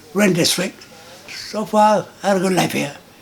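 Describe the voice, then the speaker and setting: This man keeps a moderate pace and ordinary pitch variation amid noticeable background noise. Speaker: long-time resident. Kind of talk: interview.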